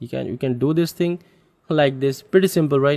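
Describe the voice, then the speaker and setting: A man with a non-native accent talks at a fairly high pitch with ordinary pitch variation. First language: not English. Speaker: photo editing software developer and tutor. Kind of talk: software tutorial. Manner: halting, with frequent fillers.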